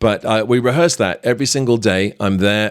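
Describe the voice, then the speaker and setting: A man with a British accent talks at a fairly quick pace with ordinary pitch variation. The recording is very clean, with a silent background. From Britain. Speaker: magician and actor. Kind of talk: podcast storytelling.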